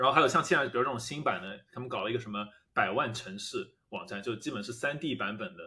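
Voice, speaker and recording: Talking at a very fast clip, a man with a medium pitch uses lively intonation and big swings in loudness. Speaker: product manager, friend of hosts. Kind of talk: casual chat.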